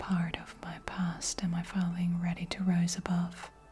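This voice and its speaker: A soft-spoken voice moves at a fairly slow pace. Noticeable background noise sits behind it. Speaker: tarot card reader. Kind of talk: spoken oracle card reading.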